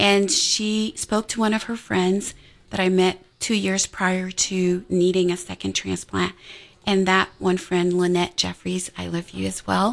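A woman has a plain, everyday voice at a medium pitch. She speaks fairly slowly with fairly even intonation. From Montreal, Canada. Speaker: nurse and PhD researcher, cancer survivor. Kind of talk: radio testimony. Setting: radio studio.

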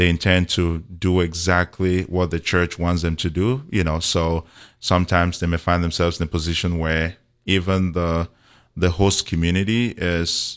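A man with a very deep, low voice at a moderate pace, his intonation fairly even, over a quiet background. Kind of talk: radio interview with prayer. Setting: radio studio.

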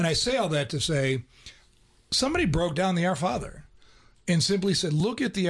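Against a quiet background, a man with an unremarkable speaking voice talks with lively intonation. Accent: American. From Ohio. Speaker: radio co-host. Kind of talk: casual radio conversation. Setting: radio studio.

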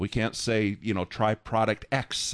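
At a fairly slow pace, a man with a normal speaking voice and fairly low pitch talks against a quiet background. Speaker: radio station pledge drive host. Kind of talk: radio pledge drive announcing. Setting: radio studio. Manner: cheerful, laughs often.

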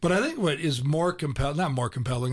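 Against a quiet background, a man talks in a somewhat breathy voice with a fairly high pitch. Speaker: radio host. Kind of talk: interview. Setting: studio.

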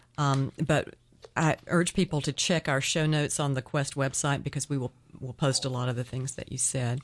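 Against a quiet background, a woman with an American accent talks at a moderate pace in a very deep, low voice with ordinary pitch variation. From rural US. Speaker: radio co-host, retired lawyer. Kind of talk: radio interview. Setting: radio studio.

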